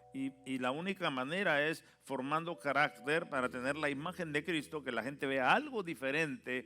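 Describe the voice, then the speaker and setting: Over music in the background, a man speaks at a fairly slow pace in a medium pitch with lively intonation. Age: 60s. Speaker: pastor. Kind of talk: sermon.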